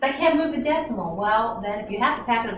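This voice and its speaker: With audible room echo around her, a woman speaks at a fairly quick pace. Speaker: chemistry instructor. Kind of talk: lecture. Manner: fast.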